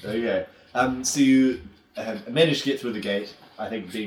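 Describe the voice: What we hear is plain reading aloud.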